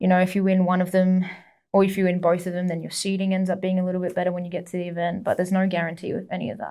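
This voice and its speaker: A woman with an Australian accent talks at a very fast pace. Her tone is dark and mellow, her intonation flat and monotone. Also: medium pitch for a woman. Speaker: jiu-jitsu athlete. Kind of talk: casual chat.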